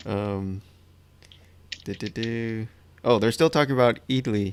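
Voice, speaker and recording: A plain, everyday voice with an American accent speaks at a fairly slow pace and ordinary pitch variation. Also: man, medium pitch for a man. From Miami, Florida, US. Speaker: live stream host and artist. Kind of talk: casual chat during live painting demo. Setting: live stream.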